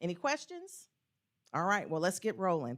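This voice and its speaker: Loud and with very wide pitch swings, a woman speaks. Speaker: panel moderator. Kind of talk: moderated panel discussion. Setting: stage with live audience.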